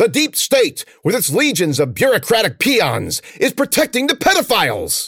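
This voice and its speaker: A put-on character voice at a moderate pace with very even loudness. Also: man, extremely high pitch for a man. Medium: read story. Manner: bombastic, fearmongering, rising in pitch.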